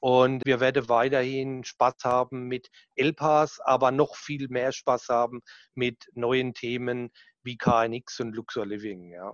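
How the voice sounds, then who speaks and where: With a strong southern German accent, a man of medium pitch speaks at a very slow pace and fairly even intonation. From southern Germany. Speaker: sales manager. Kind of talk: casual interview chat.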